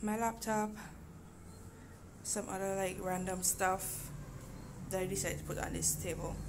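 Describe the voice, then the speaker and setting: Noticeable background noise runs under the recording. A woman speaks at a fairly quick pace. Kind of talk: casual vlog chat. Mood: relaxed, lightly humorous. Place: home room. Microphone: phone near.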